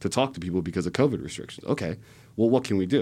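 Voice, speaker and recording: Against a quiet background, a man with an American accent talks with lively intonation. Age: 20s. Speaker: political organizer. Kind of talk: podcast interview. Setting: studio.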